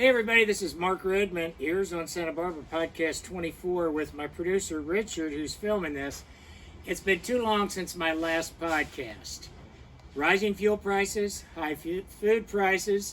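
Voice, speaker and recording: High pitch from a male speaker, varying in an ordinary way. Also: moderate pace. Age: 60s. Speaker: podcast host. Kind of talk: podcast intro read from teleprompter. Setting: filmed by producer.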